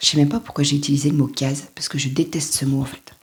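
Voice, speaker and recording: A woman's somewhat breathy, dark, mellow voice at a very deep, low pitch. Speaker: life coach. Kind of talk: motivational talk to camera. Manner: casual, halting.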